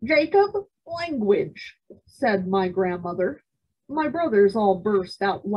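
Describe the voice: Against quiet surroundings, the text is read aloud plainly.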